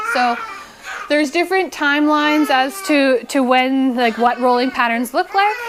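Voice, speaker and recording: A woman with a high pitch and lively intonation speaks over noticeable background noise. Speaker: chiropractor. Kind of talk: lecture. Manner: fast.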